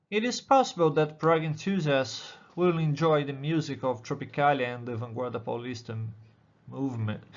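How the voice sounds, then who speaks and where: With a Brazilian accent, a man talks at a moderate pace amid audible room echo. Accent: non-native English, Brazilian. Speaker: doctoral student in musicology. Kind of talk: conference presentation. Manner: halting.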